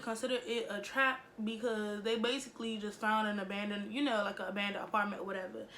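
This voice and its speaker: Against noticeable background noise and audible room echo, a woman talks fast-ish at a fairly high pitch. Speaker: YouTuber. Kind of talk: storytime vlog. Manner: casual, filler-heavy.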